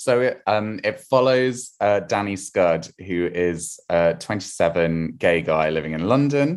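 Talking at a fairly slow pace with hardly any pauses, a man with a southern English accent has a fairly low pitch and lively intonation. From southern England, rural Wiltshire. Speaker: novelist. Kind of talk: casual interview chat.

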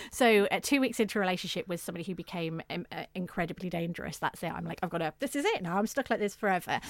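Speaking at a very fast pace with hardly any pauses, a woman holds a medium pitch. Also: ordinary pitch variation. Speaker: domestic violence campaigner. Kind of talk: interview about domestic abuse.

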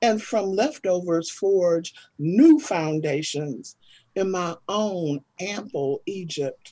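Her tone is dark and mellow, at a medium pitch. This woman speaks at a very slow pace with lively intonation. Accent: American. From US Midwest, East St. Louis. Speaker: poet. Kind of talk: casual chat.

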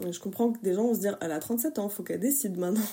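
Speaking at a fairly quick pace, a woman has a dark, mellow tone that is somewhat breathy. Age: 30s. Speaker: testimony contributor. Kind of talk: testimony.

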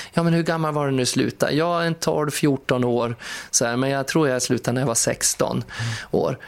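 This man talks at a fairly quick pace, his pitch fairly high for a man. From Sweden, Skutskär. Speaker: podcast host, entertainer. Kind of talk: casual chat. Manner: animated.

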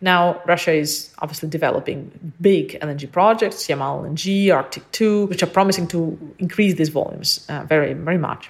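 A woman talks in a plain, everyday voice at a fairly low pitch with ordinary pitch variation. She goes at a fairly quick pace with hardly any pauses. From Ukraine, US from teens. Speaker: politics lecturer. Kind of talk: expert interview.

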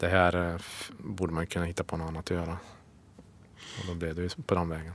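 A man talks at a fairly quick pace in a very deep, low voice with flat, monotone intonation. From Värmland, Sweden (Hammarö, near Karlstad). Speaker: extreme skier. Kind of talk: interview.

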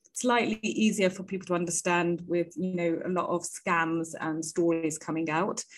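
This woman talks with a British accent. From UK. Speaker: startup founder.

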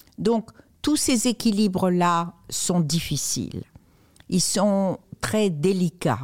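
Very slow delivery with long, frequent pauses, lively intonation and very even loudness. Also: woman, medium pitch for a woman. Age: 70s. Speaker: author and magazine co-founder. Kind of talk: interview.

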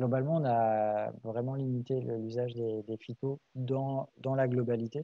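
In a normal speaking voice, a man talks at a medium pitch with fairly even intonation. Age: 30s. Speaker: farmer and association president. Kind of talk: casual interview.

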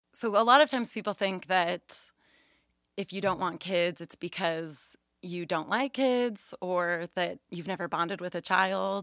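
This woman has an unremarkable speaking voice at a medium pitch with ordinary pitch variation. The recording is very clean, with a silent background. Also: fairly slow pace. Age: 20s. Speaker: babysitter. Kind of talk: casual chat. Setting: home closet, recorded.

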